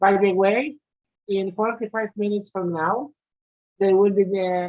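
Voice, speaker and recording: This woman speaks with a non-native accent. Her intonation is fairly even. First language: not English. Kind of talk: online meeting discussion.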